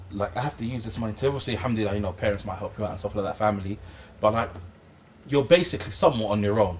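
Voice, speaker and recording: Somewhat breathy and very fast, a man talks at a fairly low pitch with ordinary pitch variation and big swings in loudness. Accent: London. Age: 20s. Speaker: Islamic teacher. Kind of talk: casual chat. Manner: halting, repetitive.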